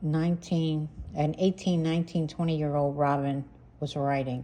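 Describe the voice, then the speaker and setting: A woman speaks with an American accent. Her voice has a very deep, low pitch and a dark, mellow tone. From US Northeast, Pennsylvania near Philadelphia. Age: 60s. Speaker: family history vlogger and army veteran. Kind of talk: casual monologue to camera. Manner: halting, with fillers and restarts.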